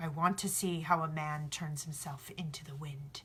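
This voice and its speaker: Someone speaks in a put-on character voice at a middle pitch. The pace is moderate. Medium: read story. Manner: respectful, commanding.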